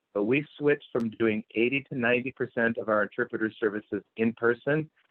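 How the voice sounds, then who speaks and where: A man with a medium pitch talks fairly quickly, his pitch variation ordinary. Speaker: health plan chief medical officer, physician. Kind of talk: presentation at a community town hall. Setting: virtual town hall, video call. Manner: fast.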